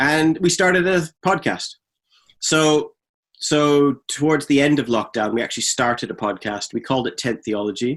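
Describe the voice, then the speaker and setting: In a very clean recording with a silent background, a man with a normal speaking voice and a fairly high pitch speaks at a moderate pace with lively intonation. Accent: Canadian. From Canada. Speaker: theologian and podcaster. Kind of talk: podcast interview.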